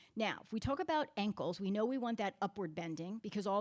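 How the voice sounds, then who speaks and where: A woman speaks very fast at a medium pitch. Her intonation is lively. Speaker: physical therapist. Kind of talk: workshop presentation. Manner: loud.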